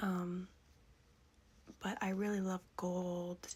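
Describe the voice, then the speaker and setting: Soft-spoken and somewhat breathy, a woman of medium pitch speaks very slowly in a calm tone. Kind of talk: ASMR vintage makeup collection show-and-tell. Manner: soft-spoken, calm.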